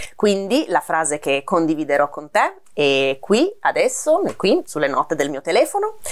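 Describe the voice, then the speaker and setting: Against noticeable background noise, a woman talks at a fairly slow pace with hardly any pauses. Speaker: language teacher, video creator. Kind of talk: direct-to-camera video monologue.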